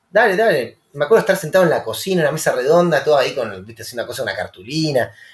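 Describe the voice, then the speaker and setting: A man with a high pitch. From Rosario, Argentina. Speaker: musician. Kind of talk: casual chat.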